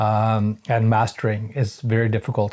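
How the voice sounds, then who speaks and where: A man speaks in a dark, mellow tone with a Norwegian accent. The recording is very clean, with a silent background. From Norway. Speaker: hobby musician reviewing gear. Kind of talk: casual product review. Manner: halting, many fillers.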